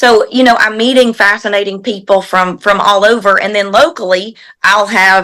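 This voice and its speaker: A woman with a Southern US accent, medium pitch and a bright, sharp tone, at a moderate pace with fairly even intonation. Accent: Southern US (Georgia). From US South, Georgia. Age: 40s. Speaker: equine massage therapist. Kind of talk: interview. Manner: halting.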